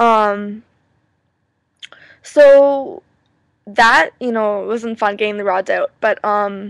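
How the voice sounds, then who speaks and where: In a Canadian accent, a woman speaks very slowly with a fairly high pitch and fairly even intonation, the sound dry and close with no echo. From Canada. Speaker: vlogger. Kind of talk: personal video message. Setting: webcam recording. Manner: halting, many fillers.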